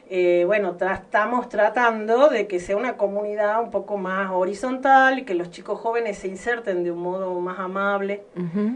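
A woman speaks at a medium pitch and a moderate pace, with ordinary pitch variation and noticeable background noise. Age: 50s. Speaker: visual artist. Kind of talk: interview.

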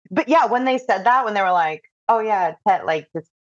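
A woman with an ordinary speaking voice, a medium pitch and lively intonation, in a dry, close sound with no echo. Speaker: podcast host. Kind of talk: interview.

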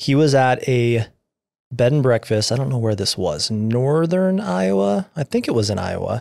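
On a very clean recording with a silent background and a dry, close sound with no echo, a man at medium pitch speaks at a moderate pace in an ordinary speaking voice. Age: 30s. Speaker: podcast co-host. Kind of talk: casual chat. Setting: studio.

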